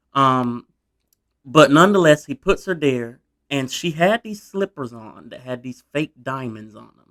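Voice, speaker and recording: A man's fairly high voice at a fairly slow pace, with lively intonation and big swings in loudness, in a dry, close sound with no echo. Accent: Southern US. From US South. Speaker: history YouTuber. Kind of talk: casual storytelling narration. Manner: conversational, informal.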